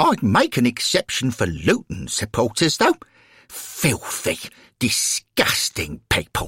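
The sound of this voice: A man speaks slowly in a put-on character voice with a husky, rough edge, a fairly bright tone and very wide pitch swings. The recording is very clean, with a silent background. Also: medium pitch for a man, dry, close sound with no echo.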